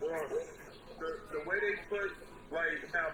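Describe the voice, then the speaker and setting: Intonation stays fairly even, with audible room echo and noticeable background noise. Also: man. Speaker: former cult member. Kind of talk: testimony. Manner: quiet. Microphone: too quiet.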